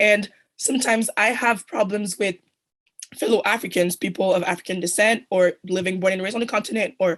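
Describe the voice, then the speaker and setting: Fairly even intonation marks the speech, which moves at a very fast pace. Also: woman. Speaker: audience member asking question. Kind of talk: conference Q&A question.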